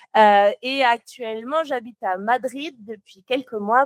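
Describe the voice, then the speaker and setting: At a very slow pace, a woman speaks with a slight Toulouse accent in a dry, close sound with no echo. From southern France, Toulouse. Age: 20s. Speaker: motion designer. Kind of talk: podcast interview. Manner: sometimes searches for words.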